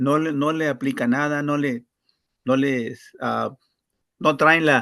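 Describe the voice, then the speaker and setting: Very slowly, a man speaks in a monotone, flat intonation. His voice is fairly high with a bright, sharp tone. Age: 70s. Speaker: event participant. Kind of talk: group discussion. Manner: halting, many repetitions and false starts.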